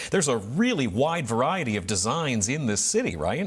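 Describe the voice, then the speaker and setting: Over noticeable background noise, a man with an American accent talks at a moderate pace and a medium pitch. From northeast Ohio. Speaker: talk show host. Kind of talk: interview.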